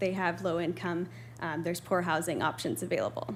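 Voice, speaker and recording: There is audible room echo around a woman's voice. She speaks at medium pitch with vocal fry. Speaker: presenter on homelessness research. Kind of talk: presentation to town council. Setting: council meeting room with audience. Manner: fast.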